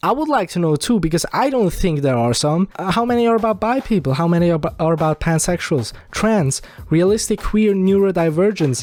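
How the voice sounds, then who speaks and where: A man with a non-native accent and high pitch, lively intonation, a fairly quick pace with hardly any pauses, and very even loudness. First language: not English. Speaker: video essayist. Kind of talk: commentary rant. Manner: casual, rambling.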